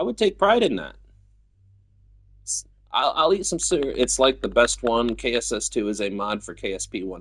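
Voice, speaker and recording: A man with an American accent talks at a moderate pace, leaving long, frequent pauses against a quiet background. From US Midwest, Battle Creek, Michigan. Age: 30s. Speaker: video game streamer. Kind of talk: casual chat.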